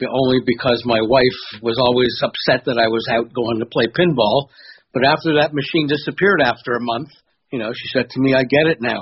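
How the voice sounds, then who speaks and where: Somewhat breathy, a man talks at a fairly quick pace and medium pitch. His pitch varies in an ordinary way. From Toronto area, Canada. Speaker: pinball hobbyist, video maker.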